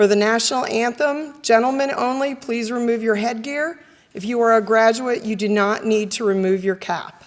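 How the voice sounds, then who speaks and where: Audible room echo around a woman's voice, fairly high in pitch, at a moderate pace. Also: ordinary pitch variation. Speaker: master of ceremonies, college adjunct faculty. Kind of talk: ceremony hosting. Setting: auditorium ceremony with audience. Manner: formal.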